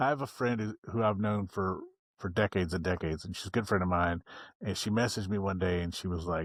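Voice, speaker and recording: Talking very fast, a man with an American accent uses ordinary pitch variation on a very clean recording with a silent background. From West Virginia. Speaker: motorcycle vlogger. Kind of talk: casual interview chat. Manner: pauses to collect thoughts; low-key, not high energy.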